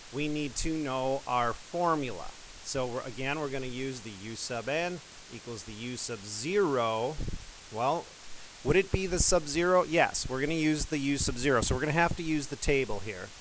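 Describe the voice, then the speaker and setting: Ordinary pitch variation and a moderate pace mark this speech, heard over noticeable background noise. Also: man. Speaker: math teacher. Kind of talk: tutorial.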